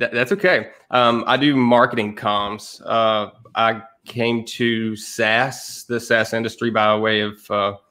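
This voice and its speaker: A man speaks at medium pitch with a Southern accent. His tone is bright and sharp, his intonation monotone and flat. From East Tennessee. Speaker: content marketer. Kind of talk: casual chat.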